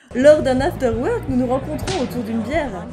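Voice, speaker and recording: A woman's high, playful voice with very wide pitch swings at a moderate pace, over music in the background. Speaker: voice-over narrator. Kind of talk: humorous personal story narration for cartoon. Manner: comic, playful.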